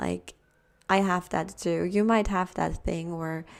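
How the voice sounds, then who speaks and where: Soft-spoken and fairly slow, a woman talks at a fairly low pitch in a monotone, flat intonation on a very clean recording with a silent background. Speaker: tarot reader. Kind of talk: pick-a-card tarot reading.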